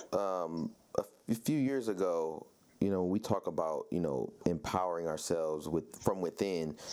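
A man with a very deep, low pitch and a dark, mellow tone speaks at a moderate pace, with ordinary pitch variation and very even loudness. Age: 30s. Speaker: podcast host. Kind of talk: interview.

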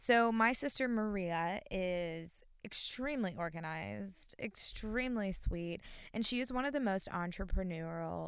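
Lively intonation marks this moderately paced voice with an American accent. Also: woman. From North Carolina, US South. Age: 20s. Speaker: podcast co-host. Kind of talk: casual chat.

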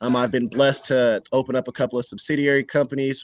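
A man with an unremarkable speaking voice at medium pitch and a fairly quick pace. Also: dry, close sound with no echo. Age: 20s. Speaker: young business owner. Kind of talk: casual interview conversation.

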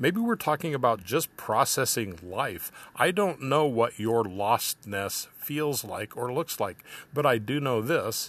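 An unremarkable speaking voice moves with lively intonation. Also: man, medium pitch for a man, fairly slow pace. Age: 60s. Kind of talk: reflective monologue.

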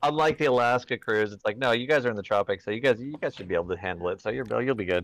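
A man with an American accent at a medium pitch, talking at a very fast pace with hardly any pauses and ordinary pitch variation. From California. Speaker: comedy podcast co-host. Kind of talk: casual comedic banter. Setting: remote call from a cruise ship. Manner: halting.

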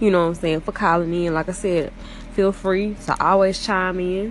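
A woman with a medium-pitched voice and a Southern US accent. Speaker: broadcaster. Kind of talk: casual live broadcast chat. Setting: at work after school bell. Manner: animated.

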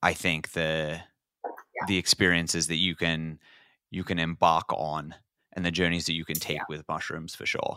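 The voice has an Australian accent and a bright, sharp tone in a flat monotone. The sound is dry and close, with no echo. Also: man, very deep, low pitch for a man, moderate pace, very clean recording, silent background. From Australia, northern New South Wales. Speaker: podcast host. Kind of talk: casual interview chat.

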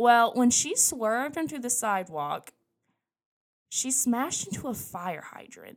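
A soft-spoken woman with a high pitch, very wide pitch swings, big swings in loudness and a fairly slow pace. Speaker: podcast co-host. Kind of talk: casual storytelling. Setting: home bedroom. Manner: hesitant.

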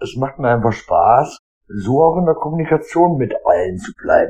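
A man's fairly high voice with a dark, mellow tone and vocal fry, lively intonation, at a moderate pace. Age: 40s. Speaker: podcaster. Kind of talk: casual monologue. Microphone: AirPods and iPhone.

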